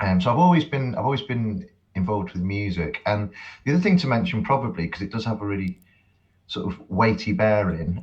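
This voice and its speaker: Speaking with a slight Cheshire accent, a man uses a fairly low, somewhat breathy voice. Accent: slight Cheshire accent, toned-down English. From England, Cheshire (rural). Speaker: academic and musician. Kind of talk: podcast interview. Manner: halting, repeats words.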